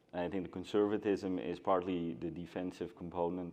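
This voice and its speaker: A man's very deep, low voice with a Scandinavian accent, dark and mellow in tone, flat and monotone, at a fairly quick pace. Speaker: agency co-founder, panelist. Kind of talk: panel discussion.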